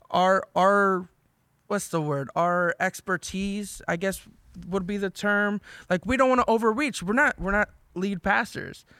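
A raised, projected, high male voice, animated and bright with a sharp tone, ordinary pitch variation and a fairly slow pace, on a very clean recording with a silent background. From US Northeast, South Jersey. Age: 20s. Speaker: podcast host, youth pastor. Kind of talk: casual chat.

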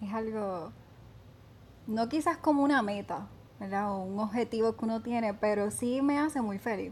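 A woman speaks at a moderate pace in a fairly high, somewhat breathy voice. Her pitch varies in an ordinary way. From Puerto Rico, Vega Baja. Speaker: beauty pageant contestant. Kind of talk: casual interview.

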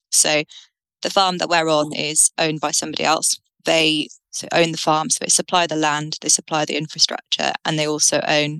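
A woman's very deep, low voice with a British accent, bright and sharp in tone, flat and monotone at a moderate pace, in a dry, close sound with no echo. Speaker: dairy farmer and farm consultant. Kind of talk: interview.

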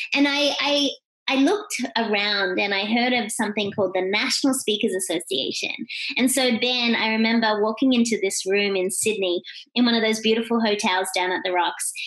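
A woman with an Australian accent, fairly high in pitch, at a fairly quick pace with ordinary pitch variation. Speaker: keynote speaker and author. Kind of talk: interview. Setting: remote call.

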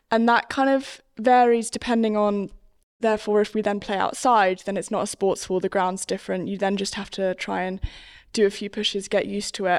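A plain, everyday voice with fairly even intonation. The recording is very clean, with a silent background. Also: woman. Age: young. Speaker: wheelchair cricket player. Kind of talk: casual chat.

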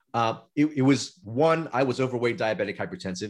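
The recording is very clean and the background silent. The man talks fairly quickly. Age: 40s. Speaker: anti-aging physician. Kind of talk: interview storytelling.

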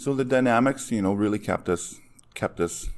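A man with a Canadian prairie accent on a very clean recording with a silent background. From Saskatchewan, Canada. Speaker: fire chief. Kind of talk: interview conversation.

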